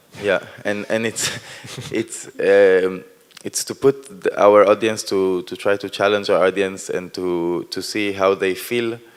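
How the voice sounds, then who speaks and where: A man with an Israeli accent, a fairly low pitch, flat monotone intonation, and a fairly slow pace. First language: Hebrew. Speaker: performance artist. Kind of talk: post-performance talk. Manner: halting.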